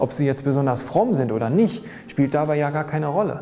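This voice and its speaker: Male voice at a fairly high pitch and moderate pace, with noticeable background noise. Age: 30s. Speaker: graffiti artist. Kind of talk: interview. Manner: halting.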